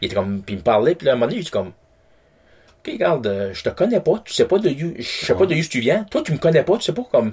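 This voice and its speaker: A man talks very fast with vocal fry at a fairly high pitch. His pitch swings very widely, and his loudness swings a lot. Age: 40s. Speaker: podcast guest. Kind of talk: casual chat.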